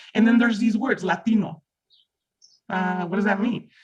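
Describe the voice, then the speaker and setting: The speaker has a Mexican accent and an animated tone. The pace is moderate. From Mexico. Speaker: reading group participant. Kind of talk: group discussion.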